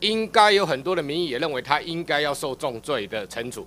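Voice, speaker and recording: Faint music plays in the background while a man speaks at a moderate pace, his fairly high pitch moving in very wide swings. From Taiwan. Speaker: legislator; legislator questioning minister. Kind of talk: parliamentary interpellation. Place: hall. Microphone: podium.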